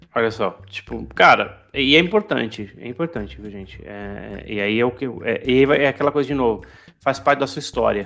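With vocal fry and a bright, sharp tone, a man talks at a moderate pace using lively intonation. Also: medium pitch for a man. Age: 40s. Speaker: podcast host, designer. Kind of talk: casual chat.

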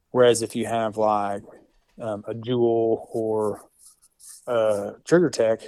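A man speaks with an Oklahoma accent in a fairly low voice. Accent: Oklahoma rural Southern US. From western Oklahoma. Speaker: competitive precision rifle shooter. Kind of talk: casual interview.

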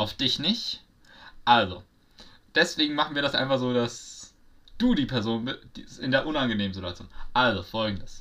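Bright and sharp in tone, a man at medium pitch speaks at a moderate pace with lively intonation and long, frequent pauses. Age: young. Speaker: podcast co-host. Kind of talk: casual chat. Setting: virtual studio.

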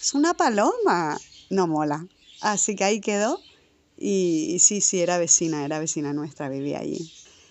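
Her voice is a normal speaking voice, fairly low in pitch for a woman, with lively intonation. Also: moderate pace. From Canary Islands, Tenerife. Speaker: podcast co-host. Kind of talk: spoken audio letter.

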